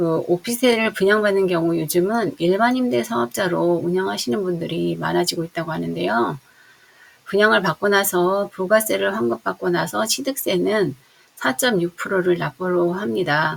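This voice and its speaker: A woman speaks at a moderate pace with a fairly low pitch. Her pitch swings very widely. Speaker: real estate agent. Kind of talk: tutorial.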